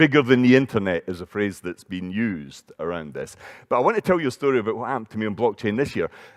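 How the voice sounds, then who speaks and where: A man with a Scottish accent at medium pitch, very fast and lively in intonation, dry and close with no echo. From Scotland, Edinburgh. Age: 60s. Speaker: conference speaker, entrepreneur. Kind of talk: conference talk. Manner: conversational.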